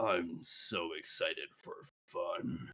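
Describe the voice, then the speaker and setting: A man puts on a character voice. His voice sounds raspy. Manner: devilish, sinister.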